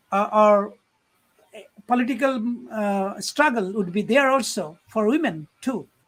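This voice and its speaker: The speaker has a Bengali accent. The pace is fairly slow. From Bangladesh. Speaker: program chair and poetry event host. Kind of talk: interview on live-streamed poetry evening. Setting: online live stream. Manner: halting, many fillers.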